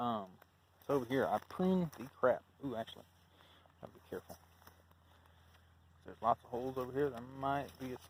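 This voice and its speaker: A man with an Alabama accent talks at a fairly quick pace and a medium pitch. He leaves long, frequent pauses, and his loudness swings widely. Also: ordinary pitch variation. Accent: Southern US (Alabama). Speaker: YouTuber, gardener. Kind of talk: casual walkthrough vlog. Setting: outdoors in garden. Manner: casual, hesitant with fillers.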